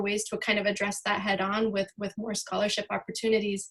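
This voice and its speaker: A woman speaks at a fairly quick pace with a fairly high pitch. Her intonation is monotone and flat. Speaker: filmmaker and university teacher. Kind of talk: panel discussion. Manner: halting.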